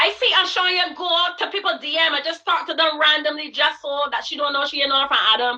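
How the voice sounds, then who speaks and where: In a raised, projected voice, a woman talks at a moderate pace with a bright, sharp tone and a high pitch. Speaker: network marketing coach. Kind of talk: motivational coaching talk on a livestream. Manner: loud; animated.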